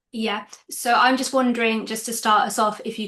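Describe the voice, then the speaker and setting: Monotone and flat, a woman speaks at a moderate pace. Her voice sits at a fairly high pitch. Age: 20s. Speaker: podcast host. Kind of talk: casual interview.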